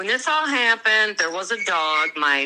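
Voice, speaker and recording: Speaking at a fairly slow pace, a woman with an unremarkable speaking voice uses lively intonation. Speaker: crime victim's relative. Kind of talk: interview.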